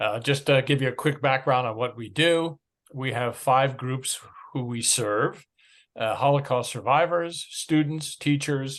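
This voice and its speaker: A man with an American accent uses a normal speaking voice at medium pitch. He speaks at a fairly slow pace with fairly even intonation over a quiet background. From United States. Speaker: nonprofit chairman. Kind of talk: talk at an online meeting.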